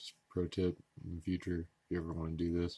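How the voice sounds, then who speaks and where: Over a quiet background, a man speaks in a very deep, low pitch. His pace is fairly quick. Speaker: tech youtuber. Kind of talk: casual tutorial commentary. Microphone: phone near.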